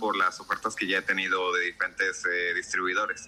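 Noticeable background noise runs behind the voice. The pace is moderate. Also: man. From Mexico. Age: 30s. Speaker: video game developer. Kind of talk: interview. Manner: halting.

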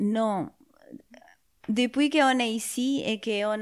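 On a very clean recording with a silent background, a woman speaks with a Spanish accent. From Spain (Madrid). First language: Spanish (speaking French). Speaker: musician. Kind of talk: interview. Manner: halting; calm.

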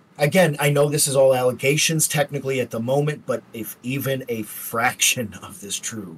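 This man's medium-pitched voice is somewhat breathy, with ordinary pitch variation, and he talks at a moderate pace. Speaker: podcast co-host. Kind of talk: casual chat.

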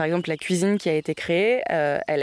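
A woman's very deep, low voice at a moderate pace, dry and close with no echo. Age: 20s. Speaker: journalism student. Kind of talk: interview. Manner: hesitant, many fillers.

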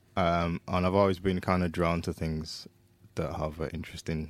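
A man speaks with a Yorkshire accent and a very deep, low pitch. The recording is very clean, with a silent background. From Leeds, northern England. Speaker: guitarist. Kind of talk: casual chat.

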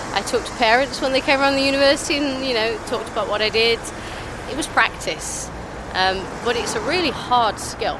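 A high-pitched woman at a fairly quick pace, with noticeable background noise. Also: ordinary pitch variation. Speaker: scientist, molecular biologist. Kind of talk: casual street chat. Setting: outdoors.

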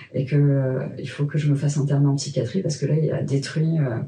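Her tone dark and mellow and somewhat breathy, a woman speaks at a fairly quick pace in a very deep, low pitch with monotone, flat intonation. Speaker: sex educator and sex therapist. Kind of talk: personal testimony in a conversational interview.

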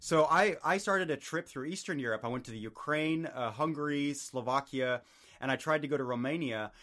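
A man's bright, sharp, fairly high voice with an American accent at a fairly quick pace, in a very clean recording with a silent background. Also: ordinary pitch variation. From California and Germany. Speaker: podcaster. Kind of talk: interview. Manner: hesitant with fillers.

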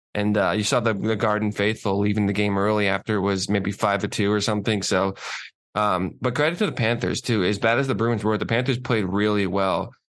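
A normal speaking voice with an American accent moves at a fairly quick pace, with fairly even intonation and very even loudness. The background is quiet. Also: man, fairly low pitch for a man. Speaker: co-host. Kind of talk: casual chat. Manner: dry, teasing.

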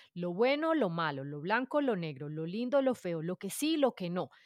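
A woman speaks with very wide pitch swings over a very clean recording with a silent background. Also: dry, close sound with no echo. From Colombia, Bogotá. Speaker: podcaster. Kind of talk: casual interview.

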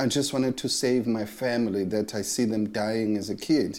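A man speaks with a South African accent. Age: 60s. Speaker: bass player. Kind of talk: casual interview. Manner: halting, many repetitions and fillers.

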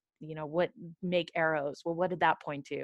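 An unremarkable speaking voice from a woman with an American accent, fairly low in pitch, with ordinary pitch variation against a quiet background. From California. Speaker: criminal defense attorney. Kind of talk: casual discussion.

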